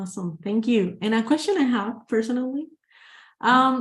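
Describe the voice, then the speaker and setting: Speaking at a moderate pace with a Spanish accent, a woman sounds somewhat breathy and uses lively intonation. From Guatemala. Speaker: webinar moderator. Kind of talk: webinar Q&A.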